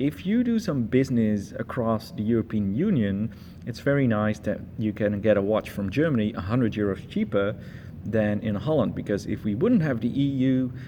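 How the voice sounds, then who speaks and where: A man speaks with a non-native accent and a dark, mellow tone. His pace is moderate. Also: medium pitch for a man, ordinary pitch variation. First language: not English. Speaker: watch reviewer. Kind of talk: product review. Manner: hesitant, many fillers.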